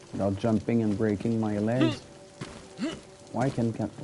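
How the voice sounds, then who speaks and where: A man with a French Canadian accent speaks at medium pitch and a moderate pace. His intonation stays fairly even over noticeable background noise. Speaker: gaming streamer. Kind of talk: live gameplay commentary. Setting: live stream.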